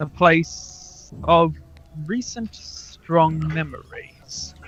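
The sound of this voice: A man with a fairly bright tone and fairly high pitch speaks at a very slow pace with ordinary pitch variation.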